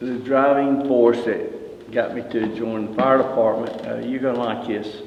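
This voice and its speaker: A medium-pitched man in a Southern US accent, at a fairly slow pace with ordinary pitch variation, amid noticeable background noise and audible room echo. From US South, Greensboro, North Carolina. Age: 70s. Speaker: retired fire battalion chief. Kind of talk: oral history interview. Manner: halting, with fillers.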